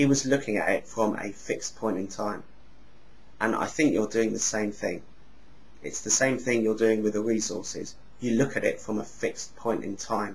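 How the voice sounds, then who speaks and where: A man speaks at a moderate pace and a medium pitch. His intonation is fairly even, and his voice is somewhat breathy. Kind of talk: casual talk to camera. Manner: sounds angry but is not.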